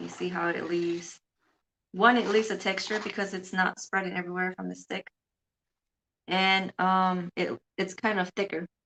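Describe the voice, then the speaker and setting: A soft-spoken woman talks at medium pitch in a flat monotone, with long, frequent pauses. The sound is dry and close, with no echo. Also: moderate pace. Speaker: art teacher. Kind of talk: live painting tutorial. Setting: live stream on camera. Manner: halting.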